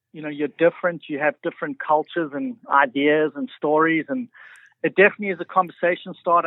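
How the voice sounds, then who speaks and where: Fairly high male voice in a South African accent, quick-paced, with ordinary pitch variation. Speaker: realtor. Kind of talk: radio interview.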